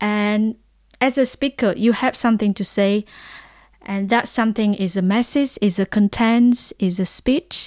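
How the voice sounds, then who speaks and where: A woman with a Vietnamese accent speaks at a fairly high pitch with fairly even intonation, the sound dry and close with no echo on a very clean recording with a silent background. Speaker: lecturer and researcher. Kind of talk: lecture. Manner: halting.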